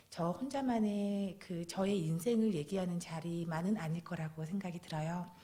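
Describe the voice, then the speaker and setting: Speaking at a moderate pace and medium pitch with ordinary pitch variation, a woman has an ordinary speaking voice. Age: 40s. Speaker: guest preacher, cancer patient giving testimony. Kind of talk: testimony. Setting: church with congregation.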